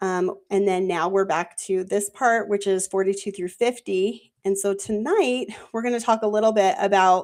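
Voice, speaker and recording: At a moderate pace, a woman with a normal speaking voice talks in a medium pitch with fairly even intonation, on a very clean recording with a silent background. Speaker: Bible study panel host. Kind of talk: group Bible study discussion. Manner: casual, filler-heavy.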